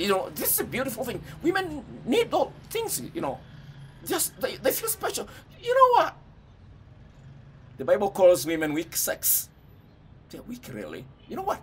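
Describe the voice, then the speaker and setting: Speaking at a moderate pace, a man makes big swings in loudness and leaves long, frequent pauses. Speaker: speaker. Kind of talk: casual advice talk to camera. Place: home room. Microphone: phone near.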